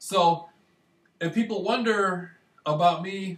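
A man speaks in a high pitch with an American accent. His intonation is fairly even, and room echo can be heard. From Michigan, US. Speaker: vlogger. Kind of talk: casual monologue. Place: home room. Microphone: webcam.

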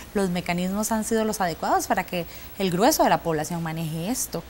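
Very fast speech from a woman over light background noise. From Costa Rica. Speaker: TV presenter. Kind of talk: TV panel moderation. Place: studio. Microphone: lapel.

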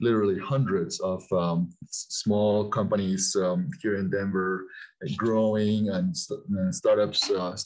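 Against a quiet background, a man speaks in an unremarkable speaking voice with a fairly low pitch and fairly even intonation. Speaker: guest. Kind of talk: interview answer. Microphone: video call.

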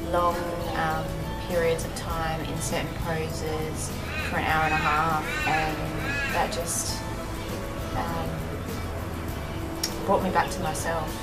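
Very slow speech with long, frequent pauses, music playing in the background. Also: woman. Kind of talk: interview answer. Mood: calm, reflective. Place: street.

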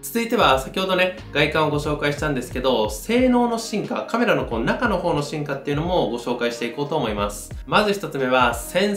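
A man speaks at a moderate pace with audible room echo. Faint music plays in the background. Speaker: camera reviewer. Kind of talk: tutorial. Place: studio.

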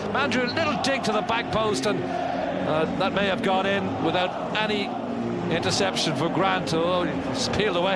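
A man speaking in an animated tone at a moderate pace with ordinary pitch variation over loud background noise. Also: dry sound with no echo. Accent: Irish. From Ireland. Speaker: football commentator. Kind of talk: live football match commentary over highlights. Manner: animated, rising excitement at chances. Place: stadium.

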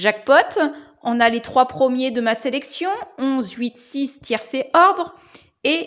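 Against a quiet background, the speaker talks at a very slow pace with lively intonation. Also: woman. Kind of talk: casual vlog chat. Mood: pleased, upbeat. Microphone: lapel.

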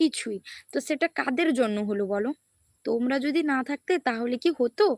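Recorded very cleanly against a silent background, a woman's high-pitched voice sounds dry and close with no echo. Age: 20s. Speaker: YouTuber. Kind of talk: casual livestream chat.

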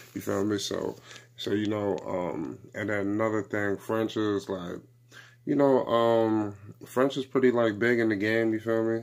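The man's pitch is fairly low. He keeps his intonation fairly even and speaks at a fairly slow pace. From New York. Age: 20s. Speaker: YouTuber; music commentator vlogger. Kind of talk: casual vlog commentary. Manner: halting, many fillers. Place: home room. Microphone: phone near.

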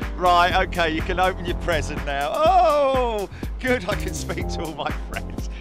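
A man speaks with a British accent at a fairly slow pace. The sound is dry with no echo, and music plays clearly in the background. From England. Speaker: aviation livestream commentator. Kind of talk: live commentary.

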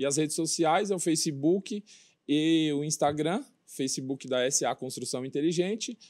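Against a quiet background, a man talks fairly slowly, his pitch varying in an ordinary way. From São Paulo, ABC region; São Paulo, Brazil. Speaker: former footballer turned construction business owner; interview guest. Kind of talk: casual TV interview. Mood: relaxed, friendly. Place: studio.

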